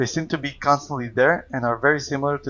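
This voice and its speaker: A man with a non-native accent at a fairly quick pace, his intonation fairly even. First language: not English. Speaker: video game lore youtuber. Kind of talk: video essay narration.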